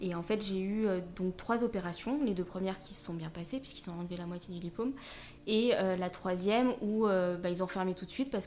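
A woman talks at a fairly quick pace in a medium pitch, with ordinary pitch variation. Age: 30s. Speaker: wheelchair user, social media creator. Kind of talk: personal testimony in interview. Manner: hesitant, many fillers.

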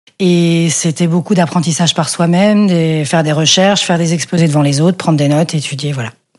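The speech comes at a fairly quick pace with fairly even intonation and hardly any pauses. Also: woman, fairly low pitch for a woman. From Belgium, Brussels. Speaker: sign painter. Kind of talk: casual interview. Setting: home apartment. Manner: halting.

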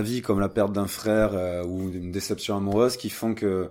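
This man speaks fairly quickly, keeping a fairly low pitch and fairly even intonation. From French Basque Country (Anglet). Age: 30s. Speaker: longboarder and adventurer. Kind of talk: casual interview. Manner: halting.

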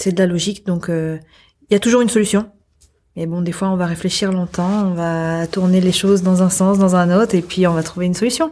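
A woman talks at a fairly quick pace in a medium pitch, her tone dark and mellow. Her intonation stays fairly even, and the recording is very clean with a silent background. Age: 20s. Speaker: lead software developer. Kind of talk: interview.

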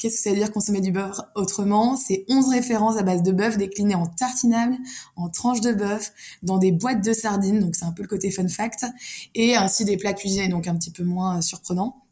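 A woman with a dark, mellow tone and a somewhat breathy voice speaks at a medium pitch with ordinary pitch variation, in a very clean recording with a silent background. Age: 20s. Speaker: food industry sales manager. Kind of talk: casual chat.

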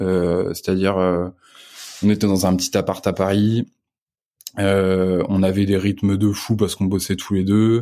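In a very clean recording with a silent background, a man with a fairly low voice speaks at a fairly slow pace in a flat monotone, his loudness very even and his long pauses frequent. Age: 20s. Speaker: entrepreneur and father. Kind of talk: casual interview chat.

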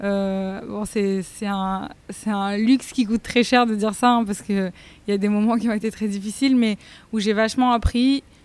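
Woman in a plain, everyday voice, fairly high pitch, fairly even intonation, moderate pace. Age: 20s. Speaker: vegetarian restaurant chef and founder. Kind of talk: casual interview chat. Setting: in her restaurant.

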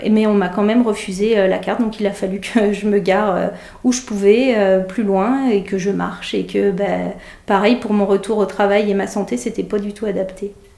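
A woman's medium-pitched voice at a moderate pace, with fairly even intonation and noticeable background noise. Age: 30s. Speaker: nurse. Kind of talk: testimony. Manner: halting, many hesitations.

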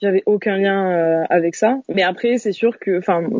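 A woman speaks at a fairly slow pace. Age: 20s. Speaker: interviewee sharing personal story. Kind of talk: interview. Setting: video call. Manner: halting.

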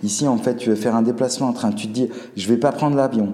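A man with a medium pitch talks at a very fast pace. Noticeable background noise and audible room echo surround him. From Alsace, Colmar. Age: 40s. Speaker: restaurant owner, former engineer. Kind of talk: casual interview chat. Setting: in his restaurant.

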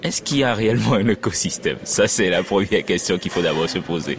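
Noticeable background noise runs under the clip. A man speaks with ordinary pitch variation. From Benin. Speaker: designer. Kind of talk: field interview. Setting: incubator in Lomé, Togo.

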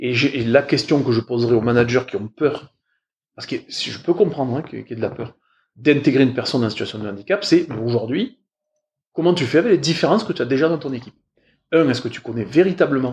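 The somewhat breathy speech moves at a very fast pace with lively intonation, big swings in loudness, and long, frequent pauses. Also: man. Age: 40s. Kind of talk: interview. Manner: hesitant, many fillers.

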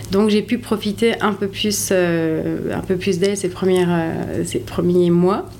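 Against noticeable background noise, a woman speaks at a very slow pace and medium pitch, with fairly even intonation and very even loudness. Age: 30s. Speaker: hotel operations director. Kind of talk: interview. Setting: on location at the hotel.

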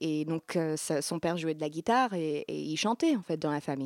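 On a very clean recording with a silent background and a dry, close sound with no echo, a woman uses an unremarkable speaking voice with lively intonation. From US Midwest, Iowa. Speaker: singer-songwriter. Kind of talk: interview.

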